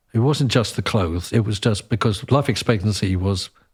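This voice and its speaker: A somewhat breathy man at a fairly low pitch, in a very clean recording with a silent background. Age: 60s. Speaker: conductor, composer and opera singer. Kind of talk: casual chat.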